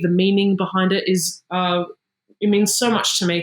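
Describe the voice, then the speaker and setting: A woman with an Australian accent, at medium pitch and a moderate pace. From Sydney, Australia. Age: 20s. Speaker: singer-songwriter. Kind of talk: interview. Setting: video call.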